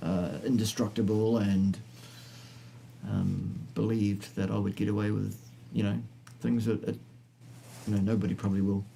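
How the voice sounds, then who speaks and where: A man with a fairly low pitch and a dark, mellow tone talks at a moderate pace, using ordinary pitch variation, very even loudness, and long, frequent pauses. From New Zealand. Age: 50s. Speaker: health science presenter. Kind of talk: live stream Q&A chat.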